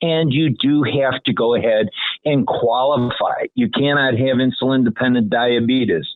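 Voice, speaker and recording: A man talks at a moderate pace and medium pitch in an ordinary speaking voice. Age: 60s. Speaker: health insurance agent. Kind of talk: radio interview.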